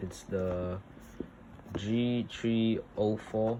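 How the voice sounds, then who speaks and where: A non-native accent with noticeable background noise. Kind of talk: casual unboxing talk to camera.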